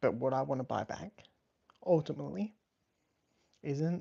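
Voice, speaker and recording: Here is a man with an Australian accent. His voice is fairly high, with a dark, mellow tone. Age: 20s. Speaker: livestreamer. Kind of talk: casual chat.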